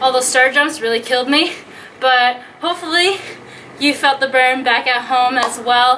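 Over light background noise, a woman uses a raised, projected voice at a moderate pace with fairly even intonation. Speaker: fitness instructor. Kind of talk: workout instruction and outro. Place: garden.

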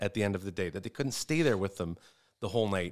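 A man's intonation is lively, and the background around him is quiet. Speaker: comedian. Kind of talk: casual chat. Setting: studio. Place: studio. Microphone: studio mic.

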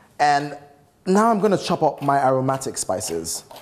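Someone speaks at a moderate pace over noticeable background noise. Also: man. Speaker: TV cooking show host. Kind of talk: tutorial. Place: kitchen. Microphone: lapel.

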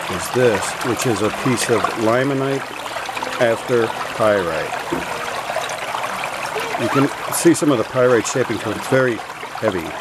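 Speech moves at a moderate pace with long, frequent pauses. The sound is dry with no echo, but the background noise is loud. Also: man. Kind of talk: casual vlog show-and-tell. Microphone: phone near.

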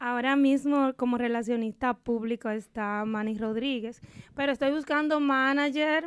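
A woman speaks at a moderate pace in a high voice with fairly even intonation. The sound is dry, with no echo. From Dominican Republic, Valverde province; Dominican Republic. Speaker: típico singer; guest. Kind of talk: interview. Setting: radio studio. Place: studio. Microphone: studio mic.

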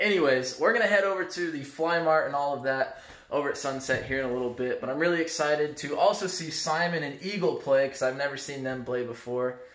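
A man talking very fast with hardly any pauses, in audible room echo. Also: ordinary pitch variation. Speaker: vlogger. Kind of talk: casual vlog chat. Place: home room. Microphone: phone near.

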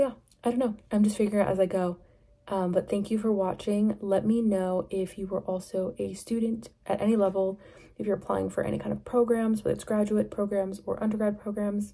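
A woman speaks in a dark, mellow tone that is somewhat breathy. Her intonation stays monotone and flat over a quiet background. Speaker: vlogger. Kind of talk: casual vlog chat. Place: home room. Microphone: phone near.

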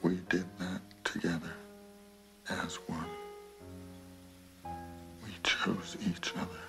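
A man speaks at a very slow pace, leaving long, frequent pauses. Clear music plays in the background. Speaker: actor. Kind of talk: film dialogue excerpt over piano music. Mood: calm, reflective, intimate. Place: home room.

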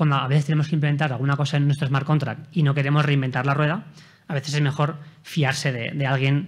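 A somewhat breathy man's voice at a very fast pace. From Spain. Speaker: software developer; conference speaker. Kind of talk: conference talk with live coding demo. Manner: hesitant, many fillers. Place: hall.

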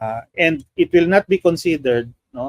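A man speaks at a fairly slow pace with very wide pitch swings. The background is quiet and the sound is dry, with no echo. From Philippines. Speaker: political analyst. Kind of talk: interview. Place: home room. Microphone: video call.

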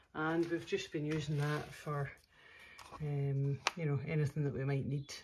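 The speech moves at a moderate pace with noticeable background noise behind it. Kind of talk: casual tutorial vlog. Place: garden. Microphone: phone near.

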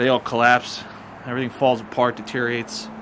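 The man rushes along at a very fast pace while noticeable noise carries on behind him. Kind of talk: casual vlog commentary. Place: open country. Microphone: phone near.

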